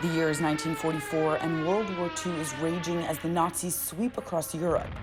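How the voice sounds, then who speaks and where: A woman talks at a fairly quick pace with fairly low pitch and fairly even intonation, over noticeable background noise. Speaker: news reporter. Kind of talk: local TV news report narration.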